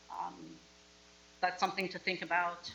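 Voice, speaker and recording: A woman is speaking. Her pitch sits in the medium range. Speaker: board chair. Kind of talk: board meeting. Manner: loud.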